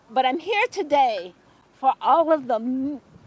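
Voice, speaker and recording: A woman with an American accent, lively intonation and a fairly slow pace, over noticeable background noise. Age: 60s. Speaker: behavior technician, union member. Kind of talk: rally speech.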